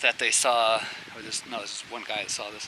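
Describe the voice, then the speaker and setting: Noticeable background noise sits behind this man. He speaks at a fairly quick pace. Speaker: backpacking vlogger. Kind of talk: casual vlog narration. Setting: outdoors in the wilderness. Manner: hesitant, many fillers; talking quietly.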